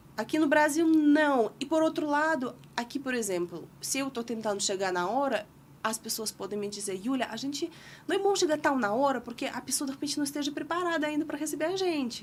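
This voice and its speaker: Speaking at a moderate pace, a woman uses a high voice with very wide pitch swings. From Russia. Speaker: podcast guest. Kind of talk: casual chat. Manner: halting.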